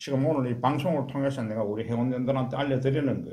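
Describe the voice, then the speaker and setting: In a Gyeongsang accent, a man with a dark, mellow tone and vocal fry talks at a moderate pace amid audible room echo. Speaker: cancer support lay counselor and channel host. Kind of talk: interview conversation. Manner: forceful.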